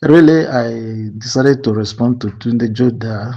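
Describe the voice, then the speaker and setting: Quiet and very slow, a man with a Nigerian accent speaks at a medium pitch in a dark, mellow tone. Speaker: community movement admin. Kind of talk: voice note response. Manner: lowered, quiet voice; hesitant, many fillers.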